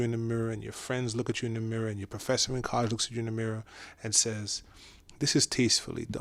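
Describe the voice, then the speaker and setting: A man is speaking. He talks with a Caribbean accent. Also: very clean recording, silent background. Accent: Caribbean accent, kept. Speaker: podcast guest. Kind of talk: casual discussion. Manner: animated, with many fillers and restarts.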